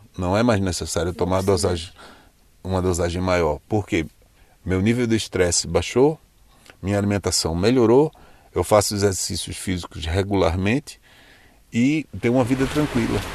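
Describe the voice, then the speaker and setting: Here a man with a northeastern Brazilian accent speaks at a fairly low pitch with ordinary pitch variation. His pace is moderate, broken by long, frequent pauses. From Brazil, Recife. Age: 50s. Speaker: journalist turned ride-share driver. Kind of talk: interview.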